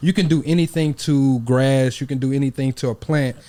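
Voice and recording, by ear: A man speaks at a fairly quick pace and medium pitch, his dark, mellow tone carried by fairly even intonation.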